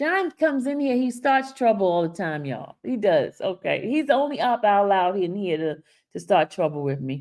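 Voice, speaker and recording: A woman with a Haitian accent, animated in tone, medium-pitched with very wide pitch swings, at a moderate pace, on a very clean recording with a silent background. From Haiti/Dominican family, raised in US from age 6 (Brooklyn). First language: Haitian Creole. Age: 50s. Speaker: YouTube commentator. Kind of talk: live stream commentary.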